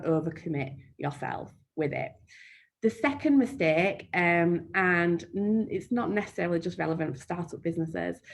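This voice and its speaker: This woman's voice sits fairly low. She talks at a fairly slow pace. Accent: Yorkshire. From Yorkshire, northern England. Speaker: marketing trainer. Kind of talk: webinar Q&A. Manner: frequent um fillers.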